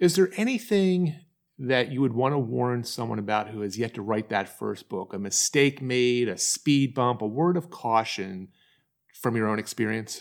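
In a very clean recording with a silent background, a man with a plain, everyday voice talks at a moderate pace and medium pitch, his intonation lively. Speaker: podcast host and book publishing coach. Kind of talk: interview conversation.

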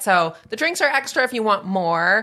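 A woman with a plain, everyday voice at medium pitch speaks at a moderate pace with an American accent, in a very clean recording with a silent background. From Northern California. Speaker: nonprofit executive director. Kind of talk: casual chat.

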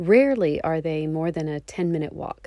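In a very clean recording with a silent background, a woman with a Texan accent speaks in a dark, mellow tone at a fairly low pitch with ordinary pitch variation. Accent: Texan American. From Texas. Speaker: travel podcast host. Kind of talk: scripted narration.

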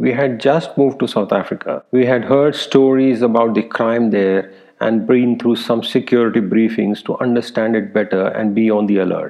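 Vocal fry runs through a slightly mellow tone with fairly even intonation and few pauses. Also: man, fairly low pitch for a man, moderate pace.

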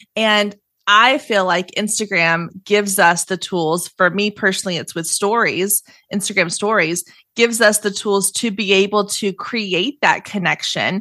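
A woman's medium-pitched voice with a bright, sharp tone, fairly even intonation and a fairly slow pace over a quiet background. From Texas, Waco. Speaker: entrepreneur and podcaster, social media coach. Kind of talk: podcast interview. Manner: casual, conversational with fillers.

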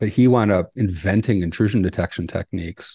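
A man with an American accent talks at a moderate pace in a fairly low voice with a dark, mellow tone and ordinary pitch variation. The sound is dry and close, with no echo. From US East Coast. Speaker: cybersecurity company CEO. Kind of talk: interview conversation. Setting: video call.

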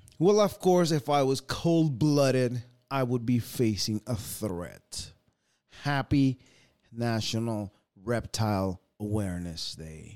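Music plays in the background as a man speaks at a very slow pace. His medium pitch carries lively intonation. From US, born in El Salvador, moved at 11. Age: 30s. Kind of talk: scripted show segment; casual interview chat.

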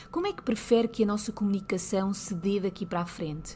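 Music plays behind a woman who speaks at a fairly quick pace with a European Portuguese accent, her pitch medium and its variation ordinary. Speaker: lawyer and podcast host. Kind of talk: solo podcast monologue.

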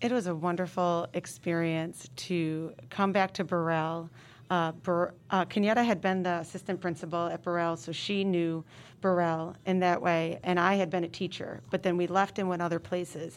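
A woman with an American accent uses an ordinary speaking voice at a fairly low pitch and moderate pace. Her intonation is fairly even, and the recording is very clean with a silent background. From upstate New York. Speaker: middle school principal. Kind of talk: casual interview.

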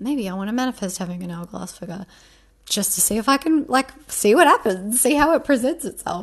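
A woman speaks at a fairly high pitch with very wide pitch swings. Her voice is somewhat breathy and swings widely in loudness. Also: fairly quick pace. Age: 30s. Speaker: manifestation coach and podcast host. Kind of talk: casual monologue. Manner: chatty, many fillers.

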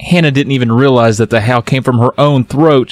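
This is someone reading aloud in a natural voice with fairly even intonation.

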